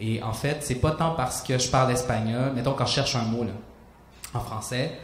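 Amid audible room echo, a man with a medium pitch talks at a moderate pace with ordinary pitch variation.

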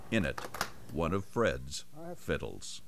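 Over noticeable background noise, a man with a very deep, low voice speaks at a very slow pace with lively intonation. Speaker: TV reporter. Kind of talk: TV feature narration.

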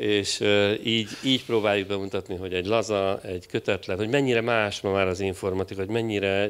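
A man with a fairly low pitch speaks at a moderate pace with fairly even intonation in an unremarkable speaking voice. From Hungary. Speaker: project leader at a government IT agency; panelist. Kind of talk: conference interview. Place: stage. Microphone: handheld.

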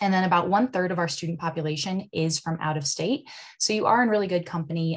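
Against a quiet background, a woman with an American accent talks at a very fast pace in a fairly low, somewhat breathy voice with ordinary pitch variation. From Nebraska, US Midwest. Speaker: university admissions recruiter. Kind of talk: presentation. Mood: friendly, upbeat. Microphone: video call.

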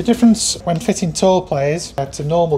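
Light background noise sits under the recording. A man does the talking. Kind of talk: guided tour explanation. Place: workshop. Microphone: lapel.

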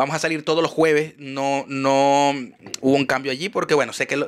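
Speaking at a fairly quick pace, this man has a fairly high pitch and a Maracaibo accent. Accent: Venezuelan Spanish (Maracaibo, voseo). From Venezuela, Maracaibo; Venezuela. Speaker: podcast host. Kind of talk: show outro; casual chat. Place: studio. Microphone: studio mic.

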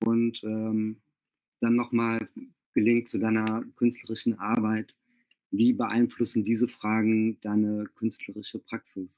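This man talks at a medium pitch with a dark, mellow tone. His intonation is monotone and flat, his pace fairly slow, and the background quiet. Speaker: interviewer and event organizer; interviewer. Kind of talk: interview. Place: home room.

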